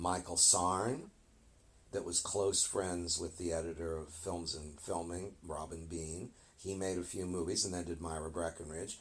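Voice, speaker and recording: Somewhat breathy and in an American accent, a man with a very deep, low pitch talks at a fairly slow pace with monotone, flat intonation. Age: 70s. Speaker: film historian. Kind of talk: interview.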